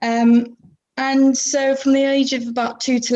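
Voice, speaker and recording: A woman speaks with a southwest English accent. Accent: south-west English. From England, Plymouth (south-west). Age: 20s. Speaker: podcast guest. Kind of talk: casual interview chat. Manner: hesitant, many fillers.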